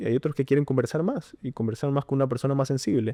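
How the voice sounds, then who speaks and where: A man with a dark, mellow tone and ordinary pitch variation is heard in a dry, close sound with no echo over a quiet background. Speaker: podcast guest, university student. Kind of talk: casual chat. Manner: halting, many self-repetitions.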